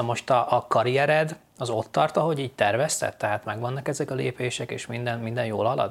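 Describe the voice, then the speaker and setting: A man talks at a fairly quick pace in a normal speaking voice with a medium pitch. The recording is very clean, with a silent background. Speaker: podcast host. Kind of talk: casual interview chat.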